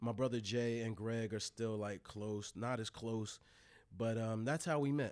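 A man at medium pitch with an ordinary speaking voice, fairly even intonation and a fairly slow pace. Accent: American. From Delaware, US. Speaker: hip hop journalist and website co-founder. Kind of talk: casual interview.

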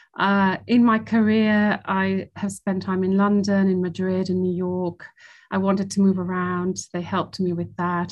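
Speaking at a moderate pace with a British accent, a woman of medium pitch keeps her intonation fairly even. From Italy and Switzerland. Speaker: sovereign debt lawyer. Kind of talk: interview. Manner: hesitant, many fillers.

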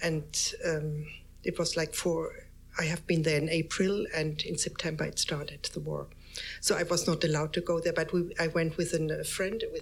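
There is audible room echo as a woman with a German accent speaks at a moderate pace. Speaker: artist photographer. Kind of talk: public talk. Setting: stage with audience. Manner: halting.

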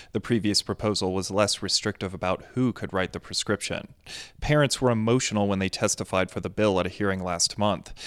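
In a very clean recording with a silent background and a dry, close sound with no echo, a man speaks fairly quickly at a fairly low pitch. He has an ordinary speaking voice with fairly even intonation. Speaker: capital coverage news reporter. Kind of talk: news reading, scripted report. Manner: formal, measured, steady news delivery.

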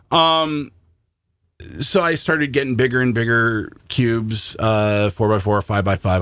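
An ordinary speaking voice, this man talks at medium pitch with lively intonation and an American accent in a very clean recording with a silent background. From Washington State, US. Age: 50s. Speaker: puzzle hobbyist co-host. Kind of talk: casual chat. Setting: on-camera video recording.

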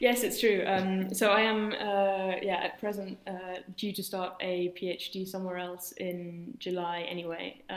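A woman with a London accent talks at a fairly slow pace and medium pitch, with monotone, flat intonation and hardly any pauses. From London, England. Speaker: engineer and incoming PhD student. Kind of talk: interview.

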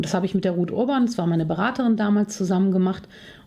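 A woman speaks in a medium pitch with ordinary pitch variation. Her tone is dark and mellow, and somewhat breathy. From Germany, Cologne. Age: 40s. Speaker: confidence coach and speaker. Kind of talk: podcast interview.

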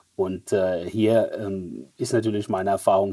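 A man speaks with a dark, mellow tone and a fairly low pitch. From Germany, Mannheim. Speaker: fintech executive. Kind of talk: interview.

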